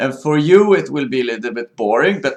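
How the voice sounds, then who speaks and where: A man with a Swedish accent speaks in a fairly high voice. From Sweden. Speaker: video blogger. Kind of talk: monologue commentary. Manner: halting.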